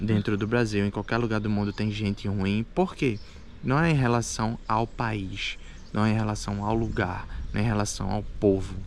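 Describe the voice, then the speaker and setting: Speaking in an unremarkable speaking voice, a man keeps a moderate pace. His pitch is fairly low and his intonation fairly even. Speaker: immigrant vlogger. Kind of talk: casual chat.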